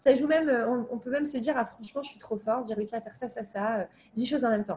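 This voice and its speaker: A woman's voice sits high in pitch. She speaks very fast. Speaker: psychology coach. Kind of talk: talking-head advice video. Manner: hesitant with fillers.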